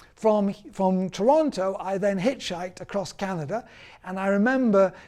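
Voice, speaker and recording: A man with a high pitch and a Yorkshire accent talks at a moderate pace with ordinary pitch variation. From northern England, Yorkshire (Bradford). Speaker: author and former newspaper reporter. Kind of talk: personal storytelling. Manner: halting.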